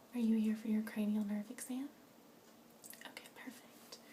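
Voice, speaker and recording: With noticeable background noise behind her, a woman of fairly high pitch speaks at a moderate pace in a monotone, flat intonation. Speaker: ASMR artist doing a doctor roleplay. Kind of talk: ASMR medical roleplay. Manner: soft-spoken, gentle.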